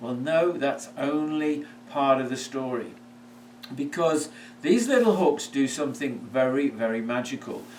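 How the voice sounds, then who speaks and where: Over noticeable background noise and audible room echo, a man in a British accent speaks fairly slowly, his fairly high pitch moving with lively intonation. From United Kingdom. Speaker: product maker and seller. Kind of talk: product presentation. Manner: hesitant, with fillers.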